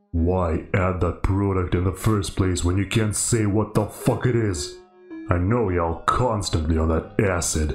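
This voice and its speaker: Faint music plays behind a man's very deep, low voice. He speaks at a moderate pace. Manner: aggressive, profane, slangy.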